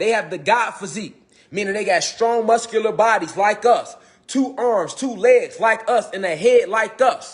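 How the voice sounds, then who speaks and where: A man speaks in a high, animated voice with lively intonation. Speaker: esoteric teacher. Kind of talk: livestream lecture. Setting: Facebook live stream. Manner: fast.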